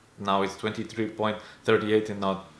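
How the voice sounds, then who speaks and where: A man's fairly low voice with audible room echo. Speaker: personal finance YouTuber. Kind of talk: casual screen-share investing update. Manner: hesitant, many fillers.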